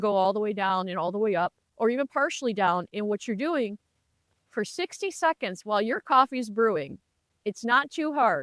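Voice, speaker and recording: A woman's ordinary speaking voice, fairly high-pitched and fairly quick, with lively intonation and a dry, close sound with no echo on a very clean recording with a silent background. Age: 60s. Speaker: lifestyle vlogger. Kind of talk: casual advice talk to camera. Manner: conversational.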